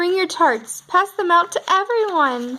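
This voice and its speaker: A woman's squeaky, put-on character voice at an extremely high pitch, with very wide pitch swings and a moderate pace. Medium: read story.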